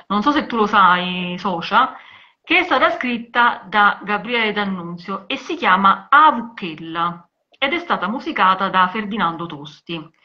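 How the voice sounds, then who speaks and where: Against a quiet background, a woman at a medium pitch speaks at a fairly slow pace with very wide pitch swings. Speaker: journalist; journalist co-host. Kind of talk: live video conversation about women in cinema and literature. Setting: video call live stream. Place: home room. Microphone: video call.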